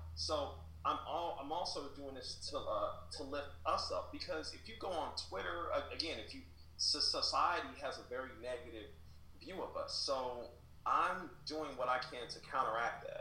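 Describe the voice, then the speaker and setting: Audible room echo and noticeable background noise both color a man's speech. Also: moderate pace. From Kansas City, Missouri. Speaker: writer and essayist. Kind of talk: interview. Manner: halting, many repetitions.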